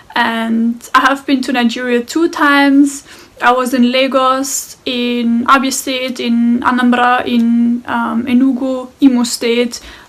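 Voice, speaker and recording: Noticeable background noise sits behind a woman with a high pitch. She speaks very slowly in a flat monotone. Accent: German. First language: German. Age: 20s. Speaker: guest sharing personal experience. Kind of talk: personal testimony. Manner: hesitant, with fillers.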